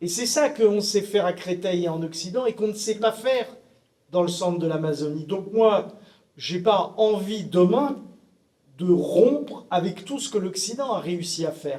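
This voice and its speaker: This man's voice is high in pitch. He talks at a fairly slow pace. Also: ordinary pitch variation. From France, Brittany. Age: 60s. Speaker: panelist, head of care homes. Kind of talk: panel discussion. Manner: halting.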